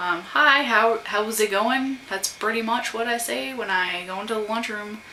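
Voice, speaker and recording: Soft-spoken, a woman talks with ordinary pitch variation amid audible room echo and noticeable background noise. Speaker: vlogger. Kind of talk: casual chat. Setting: at home.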